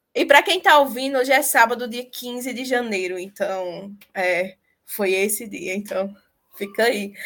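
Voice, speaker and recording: Speaking at a fairly slow pace, a woman with a high pitch uses lively intonation and big swings in loudness. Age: 20s. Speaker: podcast host. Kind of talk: casual chat. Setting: video call.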